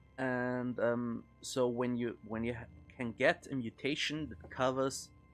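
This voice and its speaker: A man's medium-pitched voice at a fairly slow pace, fairly even in intonation but with big swings in loudness, over music in the background. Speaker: video game streamer. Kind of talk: gameplay commentary. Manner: hesitant, many fillers.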